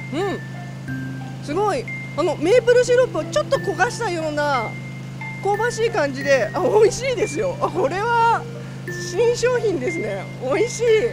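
At a moderate pace, a woman speaks in dry sound with no echo while clear music plays in the background. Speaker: local TV reporter. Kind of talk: on-location report commentary. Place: market. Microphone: handheld.

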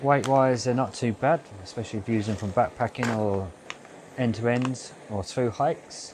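Noticeable background noise sits behind a man speaking at a moderate pace. His pitch varies in an ordinary way, and the sound is dry with no echo. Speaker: hiker reviewing camp food. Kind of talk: casual outdoor review vlog. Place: open country.

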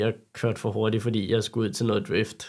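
A man talks at a moderate pace and medium pitch in an unremarkable speaking voice, on a very clean recording with a silent background. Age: 20s. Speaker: carpentry apprentice, car enthusiast. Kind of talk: interview.

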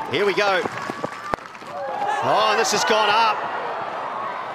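Noticeable background noise is present throughout. Over it, a man talks with lively intonation. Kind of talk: sports commentary highlights. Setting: cricket ground commentary. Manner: fast, clipped play-by-play delivery; rising excitement at wickets and the tense finish.

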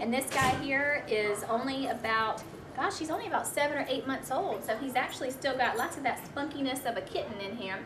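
A warm, upbeat tone with an American accent, a fairly quick pace and ordinary pitch variation over noticeable background noise. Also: woman. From US South. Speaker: volunteer adoption show host. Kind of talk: pitchman-style adoption pitch, coaxing viewers to adopt the animal on screen. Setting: animal shelter, filmed on location. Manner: warm, gushing, upbeat and animated; sales-like, repeatedly urging viewers to come down and adopt. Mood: warm, enthusiastic. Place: studio.

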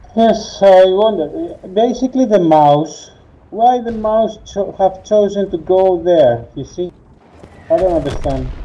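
A man with a Greek accent at a high pitch, fairly slow pace and lively intonation. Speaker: gamer. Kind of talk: casual gameplay chat. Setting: online voice chat. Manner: halting. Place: home room.

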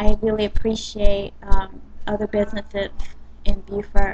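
A woman speaks with an American accent. Music plays in the background. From US South, South Carolina. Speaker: dance company owner. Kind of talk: personal video blog. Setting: webcam in a coffee shop. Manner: casual, hesitant. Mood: warm, grateful. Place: cafe. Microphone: webcam.

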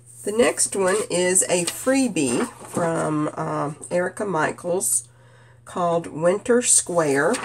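With vocal fry and a nasal quality, a woman speaks slowly at a fairly low pitch with lively intonation.

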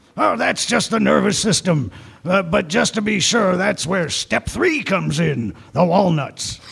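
A man's high-pitched voice, fairly slow in pace, with lively intonation. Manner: gruff, macho, mocking.

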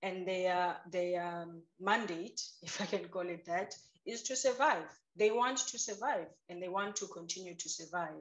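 A woman speaks at a moderate pace with ordinary pitch variation and big swings in loudness against a quiet background. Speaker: guest. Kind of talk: interview answer. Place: home room. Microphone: video call.

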